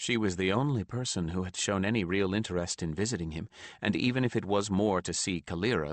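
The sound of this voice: What you hear is an unforced reading voice.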